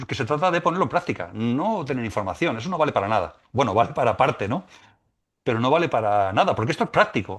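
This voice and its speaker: Over a quiet background, a man speaks at a very fast pace at a medium pitch, with very wide pitch swings. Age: 60s. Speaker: musician and spiritual teacher. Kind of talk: podcast interview. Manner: halting, many repetitions.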